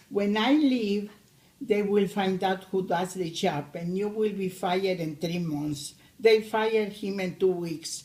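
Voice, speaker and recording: With a Spanish accent, a woman speaks at a fairly slow pace. Her voice sits at medium pitch with a dark, mellow tone. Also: ordinary pitch variation. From Argentina. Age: 80s+. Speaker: immigrant grandmother. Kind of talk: family interview. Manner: halting.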